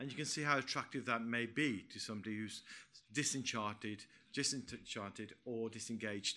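A man's bright, sharp tone moves with fairly even intonation. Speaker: retired police commander. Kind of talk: conference panel talk. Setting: stage with audience. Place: meeting room.

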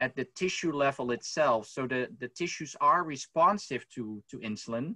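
The background is quiet as a man goes at a moderate pace, his intonation lively. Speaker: researcher panelist; panelist. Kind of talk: academic panel discussion. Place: home room. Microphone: webcam.

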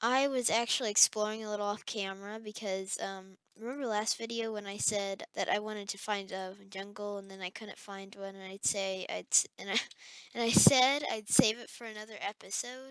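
At a moderate pace, a woman speaks with big swings in loudness, the sound dry with no echo and the background quiet. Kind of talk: gameplay commentary.

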